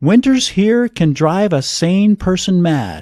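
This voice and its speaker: The voice swings very widely in pitch, heard dry and close with no echo in a very clean recording with a silent background. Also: man. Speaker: storyteller. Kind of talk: audiobook story reading.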